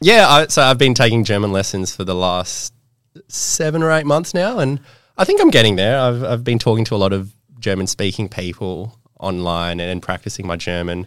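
Recorded very cleanly against a silent background, a man with an Australian accent speaks at medium pitch and a moderate pace with lively intonation. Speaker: podcast co-host. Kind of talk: casual chat.

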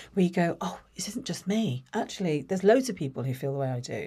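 Very fast speech in a southern English accent, somewhat breathy and dark and mellow in tone, on a very clean recording with a silent background. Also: woman. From southern England, Watford. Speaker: creative business executive. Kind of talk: interview conversation.

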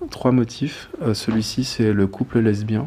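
A man's dark, mellow tone sits at a medium pitch with monotone, flat intonation. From Guadeloupe. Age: young. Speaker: fashion designer. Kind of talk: interview. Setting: live stream. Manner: hesitant, many fillers.

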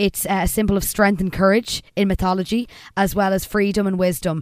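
In an Irish accent, a woman speaks at a moderate pace and a medium pitch. Her intonation is monotone and flat, on a very clean recording with a silent background. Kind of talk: casual chat, recapping a TV episode.

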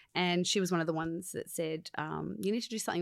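In a very clean recording with a silent background, a woman with an Australian accent speaks at a fairly low pitch with ordinary pitch variation. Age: 40s. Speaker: musical theatre performer. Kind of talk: casual chat. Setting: studio.

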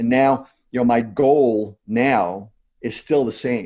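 A man with a New Jersey accent, medium pitch and fairly even intonation against a quiet background. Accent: New Jersey American. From US Northeast, New Jersey. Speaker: entrepreneur and investor. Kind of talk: interview. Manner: fast talker; blunt.

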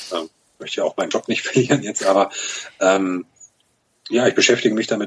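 The man speaking has a fairly low pitch. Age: 30s. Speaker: fintech startup program manager at a bank. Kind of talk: interview.

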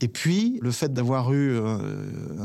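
Dark, mellow tone from a man, very clean recording, silent background. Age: 40s. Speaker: former sports journalist turned cheesemonger. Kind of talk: personal testimony.

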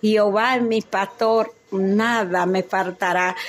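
There is noticeable background noise as a woman talks. Her pitch varies in an ordinary way. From Dominican Republic. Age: 70s. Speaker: cardiologist. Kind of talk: testimony. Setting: at her home.

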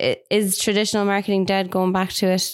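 A woman with an Irish accent is heard on a very clean recording with a silent background. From Ireland. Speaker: marketing podcast co-host. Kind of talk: casual chat.

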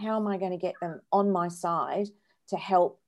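On a very clean recording with a silent background, a woman with an Australian accent speaks in a dark, mellow tone at a moderate pace. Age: 50s. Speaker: charity co-founder and director. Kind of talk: interview.

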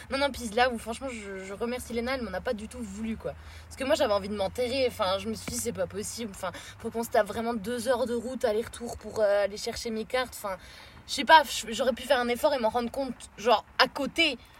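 A woman's animated, fairly high-pitched voice at a very fast pace, with vocal fry and big swings in loudness. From France. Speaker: traveller on a road trip. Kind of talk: casual chat.

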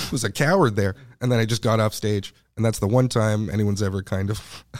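In a very clean recording with a silent background, a man with a Montreal accent talks very fast with ordinary pitch variation. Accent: Montreal English Canadian. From Montreal, Quebec (NDG). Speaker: comedian. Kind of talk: casual chat.

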